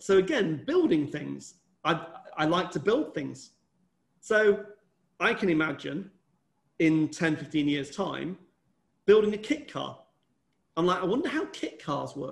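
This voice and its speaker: A man's fairly high-pitched voice with vocal fry, at a fairly slow pace. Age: 50s. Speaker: entrepreneur and company chairman. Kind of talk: interview.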